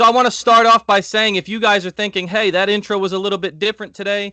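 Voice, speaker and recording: A very fast, raised and projected voice, animated and bright with a sharp tone, dry and close with no echo, over a quiet background. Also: man. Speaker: podcast co-host. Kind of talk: casual chat.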